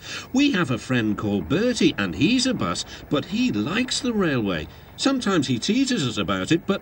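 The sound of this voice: The clip has an unforced reading voice. It reads along naturally.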